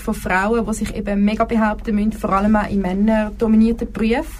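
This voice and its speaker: A woman talks at a very fast pace in a fairly high pitch. Her intonation is monotone and flat, with noticeable background noise behind her. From Zurich Oberland, Switzerland. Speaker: engineering student. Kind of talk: casual chat. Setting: studio.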